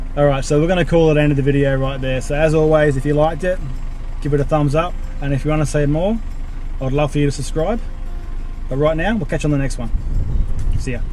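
Over music in the background, a man speaks very fast with fairly even intonation, in a dry recording with no echo. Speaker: vlogger. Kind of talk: casual vlog chat. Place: car. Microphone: phone near.

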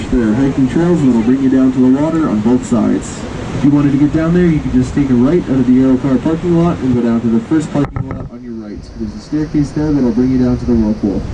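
Over noticeable background noise, a man talks at a very fast pace. His pitch varies in an ordinary way. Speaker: tour guide on the cable car. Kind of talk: tour guide commentary.

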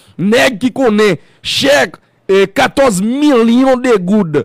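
Over a quiet background, a man with a Haitian accent talks in a high voice with lively intonation, the sound dry with no echo. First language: Haitian Creole (speaking French). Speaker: radio and web talk show host; radio, web talk show host. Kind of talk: interview. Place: studio. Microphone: studio mic.

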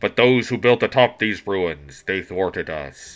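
A rumbling, put-on character voice from a man, delivered at a moderate pace. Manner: bleak, solemn.

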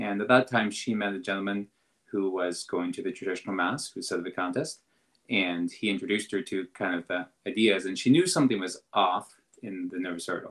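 A man with a Canadian accent and a plain, everyday voice, fairly low in pitch with ordinary pitch variation, at a fairly quick pace against a quiet background. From Canada, southwestern Ontario. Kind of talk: casual chat. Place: home room. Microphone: video call.

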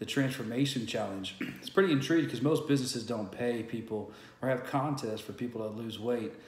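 A man speaks with an American accent at a fairly quick pace, with ordinary pitch variation. There is audible room echo around his voice. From San Antonio, Texas. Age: 30s. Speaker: small business owner. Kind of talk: casual talk to camera. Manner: hesitant, many fillers. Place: home room. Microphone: webcam.

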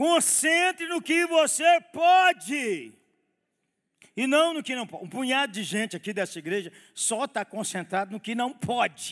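Against a quiet background, a man speaks at an extremely high pitch with very wide pitch swings. His pace is fairly slow. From Brazil. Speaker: pastor. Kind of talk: sermon. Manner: animated. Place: church. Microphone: headset.

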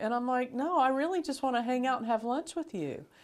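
A woman with an American accent, talking at a fairly quick pace with lively intonation over a quiet background. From Florida. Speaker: bishop. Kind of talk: interview. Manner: casual. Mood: warm, friendly. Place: studio. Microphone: lapel.

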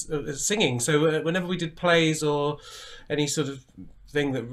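A man races along at a very fast pace, the background quiet. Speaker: guest. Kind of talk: interview answer. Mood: warm, amused storytelling. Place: home room.

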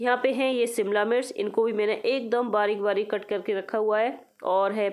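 Her voice is fairly high-pitched for a woman, and her intonation stays monotone and flat. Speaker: lifestyle vlogger. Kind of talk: vlog cooking tutorial. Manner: chatty, casual.

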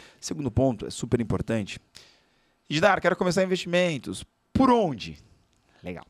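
Against a quiet background, a man's pitch swings very widely as he leaves long, frequent pauses. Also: fairly high pitch for a man, moderate pace, dry sound with no echo. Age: 30s. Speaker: financial educator and speaker; guest. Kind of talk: casual chat. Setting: studio. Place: studio. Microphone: studio mic.

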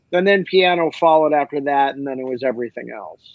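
Against a quiet background, a man talks at a fairly quick pace with ordinary pitch variation, the sound dry with no echo. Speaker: remote interview guest, actor. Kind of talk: interview answer. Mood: relaxed, joking. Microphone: video call.

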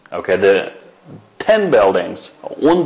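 A man speaks with a Xinjiang accent. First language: Uyghur. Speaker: English language teacher. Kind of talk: lecture. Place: studio.

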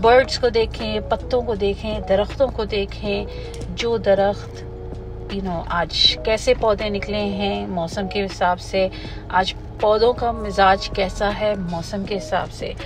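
Clear music plays in the background as a woman speaks at a very slow pace in a dry sound with no echo. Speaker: wellness coach. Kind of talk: casual vlog chat. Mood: calm, reflective. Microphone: phone near.

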